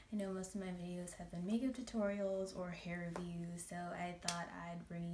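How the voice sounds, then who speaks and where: A woman talks at a moderate pace. Her medium-pitched voice keeps fairly even intonation. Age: 20s. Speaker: makeup artist. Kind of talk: casual talk to camera. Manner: shaky.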